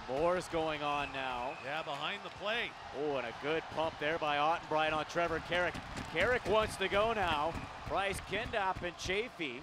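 A man speaks at a moderate pace with an animated tone, his pitch fairly high and its variation ordinary. The sound is dry with no echo, and background noise is noticeable. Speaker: play-by-play announcer. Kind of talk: live hockey play-by-play commentary. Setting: arena broadcast, highlight reel voiceover. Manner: animated, punchy call of goals.

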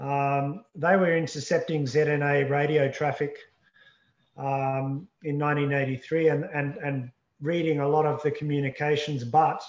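A man at a fairly slow pace with monotone, flat intonation, audible room echo and a quiet background. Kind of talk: interview answer. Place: home room. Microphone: video call.

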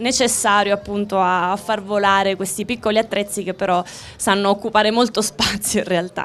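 Medium-pitched female voice, flat and monotone, at a moderate pace. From Abruzzo, Italy (Chieti); Abruzzo, Italy. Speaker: former rhythmic gymnast; TV host. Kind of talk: live TV interview. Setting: outdoors. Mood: cheerful, friendly. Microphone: handheld.

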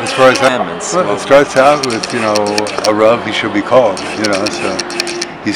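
Loud background noise sits behind a man talking at a moderate pace. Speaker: interviewee. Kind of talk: interview answer. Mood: warm, reflective, smiling. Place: open country.

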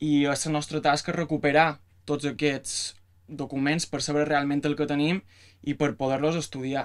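In a quiet background, a man with a fairly high pitch talks at a fairly slow pace in monotone, flat intonation. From Mallorca, Palma; Mallorca. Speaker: music student and researcher. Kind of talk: panel talk about research. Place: office. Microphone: camera far.

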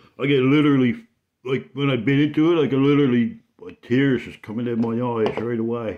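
A man talks over a quiet background, his pitch varying by an ordinary amount. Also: fairly quick pace, big swings in loudness. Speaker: vlogger. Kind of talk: casual vlog chat. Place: kitchen. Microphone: phone near.

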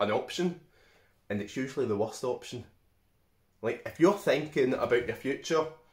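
A man speaks in a somewhat breathy voice over a quiet background, with audible room echo. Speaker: vlogger giving life advice. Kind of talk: casual vlog chat. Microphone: phone near.

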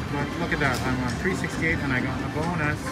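The speech moves at a moderate pace while loud music plays in the background. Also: man. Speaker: slot machine vlogger. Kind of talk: casual gambling commentary. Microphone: phone near.

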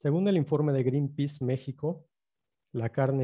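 A man speaks in a dark, mellow tone, somewhat breathy, with ordinary pitch variation. The background is quiet. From Campeche, Mexico. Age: 30s. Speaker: journalist and filmmaker; journalist presenter. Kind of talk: lecture. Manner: hesitant with frequent fillers.

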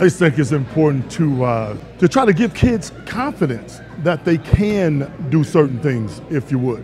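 A man's lively, fairly high-pitched voice at a moderate pace, with music in the background. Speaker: former basketball player, broadcaster. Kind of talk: interview answer.

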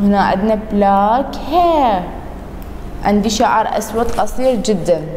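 With an Iraqi accent, a woman speaks very slowly at a fairly high pitch, with noticeable background noise and audible room echo. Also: lively intonation. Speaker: English teacher. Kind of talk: recorded lesson for pupils. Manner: repetitive, slow.

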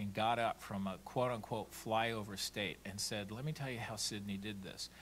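A man's voice over light background noise. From California. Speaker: political communications consultant; panelist. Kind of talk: conference panel talk. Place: hall. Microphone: podium.

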